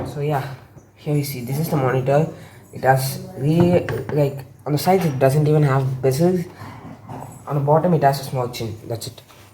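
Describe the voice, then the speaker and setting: Long, frequent pauses and fairly even intonation amid audible room echo. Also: woman, very deep, low pitch for a woman, moderate pace. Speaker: tech youtuber. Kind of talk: unboxing tutorial. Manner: casual, conversational.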